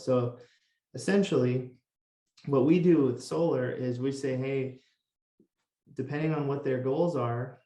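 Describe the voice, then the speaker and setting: A dark, mellow tone at a fairly slow pace. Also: man. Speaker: solar consultant. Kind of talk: interview explaining solar financing.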